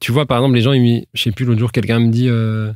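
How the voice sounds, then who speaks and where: A man at medium pitch, with a dry, close sound with no echo, on a very clean recording with a silent background. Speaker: rapper. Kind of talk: interview. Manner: halting.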